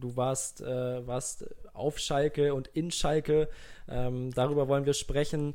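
A man has an unremarkable speaking voice with a fairly high pitch. He talks at a fairly slow pace with fairly even intonation. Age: 20s. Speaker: podcast host. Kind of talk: casual chat.

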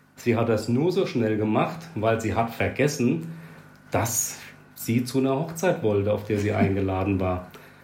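A man's somewhat breathy, medium-pitched voice at a fairly slow pace, with long, frequent pauses and very even loudness. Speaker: podcast co-host. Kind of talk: casual chat. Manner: hesitant, many fillers.

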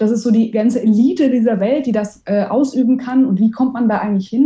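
Her voice fairly high yet dark and mellow, a woman speaks at a fairly quick pace, somewhat breathy, with ordinary pitch variation. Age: 30s. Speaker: amateur racing driver and event manager. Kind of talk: interview.

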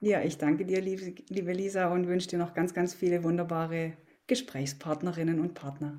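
In a dark, mellow tone, a woman speaks at a fairly low pitch and a moderate pace, with fairly even intonation. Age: 40s. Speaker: former biathlete and mental coach. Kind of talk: interview.

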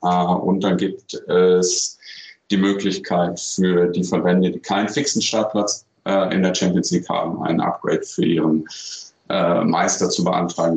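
Fairly even in intonation, a man's very deep, low voice proceeds at a moderate pace. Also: very even loudness. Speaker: handball federation media communications official. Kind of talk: recorded interview answers.

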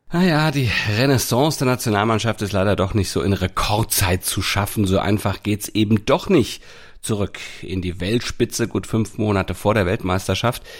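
Speaking at a moderate pace, a man with a plain, everyday voice uses a fairly low pitch and ordinary pitch variation on a very clean recording with a silent background. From Hamburg, northern Germany. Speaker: sports podcast host. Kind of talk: casual chat.

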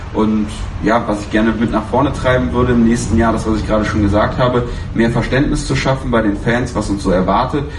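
A man talks at a very fast pace, his pitch fairly low and his pitch variation ordinary. Noticeable background noise and audible room echo fill the recording. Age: 20s. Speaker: ultras fan, fan council candidate. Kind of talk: panel discussion.

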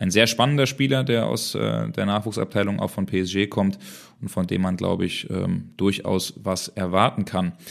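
This voice has vocal fry and moves at a moderate pace. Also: man, fairly low pitch for a man, ordinary pitch variation. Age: young. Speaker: football podcast co-host and reporter. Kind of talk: casual chat.

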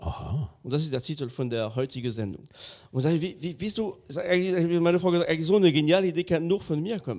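A man's high-pitched voice at a fairly quick pace with ordinary pitch variation. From France. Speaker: podcast host. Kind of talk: casual chat.

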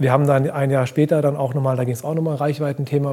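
A man speaks very fast in a fairly high pitch. His intonation is monotone and flat. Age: 30s. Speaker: fashion brand founder. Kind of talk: casual chat. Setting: live event recording.

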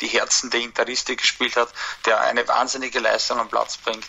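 There is noticeable background noise behind the voice. A man speaks at a moderate pace. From Austria, Baden district. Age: 20s. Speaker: football fan community moderator. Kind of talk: pre-recorded statement.

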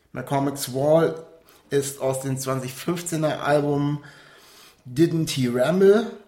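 With audible room echo around him, a man speaks in a fairly high pitch that varies in an ordinary way. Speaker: music podcast host. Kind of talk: casual chat. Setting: outdoors.

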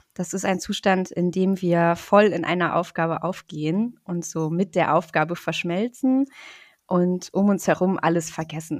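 A woman with an unremarkable speaking voice talks at a moderate pace, her pitch fairly low and her intonation fairly even. The recording is very clean, with a silent background. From northern Germany, Rostock (Baltic coast). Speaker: psychologist. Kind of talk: interview.

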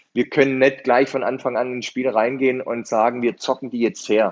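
A man speaks at a medium pitch. It is a normal speaking voice. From Swabia, Germany. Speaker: football coach. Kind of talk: interview.

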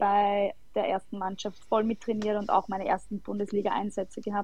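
Her voice is fairly high for a woman and somewhat breathy. The intonation stays flat and monotone. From Austria, Lower Austria. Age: 20s. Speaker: footballer. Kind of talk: casual chat.

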